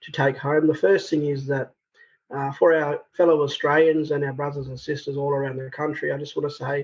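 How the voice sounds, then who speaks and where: A man with a fairly high pitch and a somewhat breathy sound speaks at a fairly quick pace. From Australia, Broken Hill, far western NSW. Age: 30s. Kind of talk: interview answer. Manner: soft-spoken.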